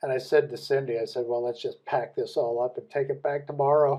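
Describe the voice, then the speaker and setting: A man with an American accent has a normal speaking voice. His pitch sits fairly high, and his intonation stays fairly even. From US Midwest. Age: 60s. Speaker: business leader. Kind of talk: podcast interview.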